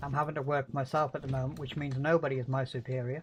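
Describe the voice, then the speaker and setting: Noticeable noise behind a fairly quick delivery. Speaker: gaming streamer. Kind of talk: casual chat while gaming. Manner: calm even when saying nasty things.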